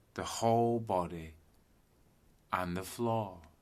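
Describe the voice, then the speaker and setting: Very slow speech from a man at a medium pitch, calm and soothing, with ordinary pitch variation. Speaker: yoga teacher, meditation guide. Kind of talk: yoga nidra guided meditation, sleep relaxation. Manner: slow, calm, soothing.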